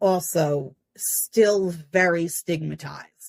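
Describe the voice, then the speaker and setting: A woman with a New Jersey accent speaks in an animated tone. The recording is very clean, with a silent background. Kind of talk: true crime commentary. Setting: home recording, poor audio. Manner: ranting, animated.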